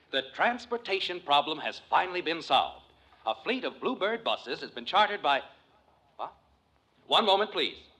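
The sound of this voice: Using a put-on character voice, a man speaks fairly high with big pitch swings and a bright, sharp tone. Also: moderate pace.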